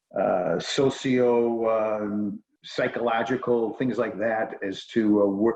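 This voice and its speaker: The man's intonation stays monotone and flat. He talks with an American accent. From Chicago, US Midwest. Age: 50s. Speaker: real estate developer. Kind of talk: interview on a video call.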